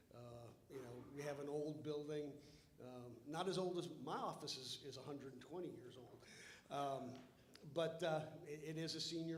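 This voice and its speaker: Room echo is audible around this man's fairly high voice. He speaks at a moderate pace with fairly even intonation and long, frequent pauses. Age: 60s. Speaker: lawyer, bar board member. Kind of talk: formal meeting remarks, debate. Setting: hotel meeting room, livestreamed. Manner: halting, many repetitions and fillers.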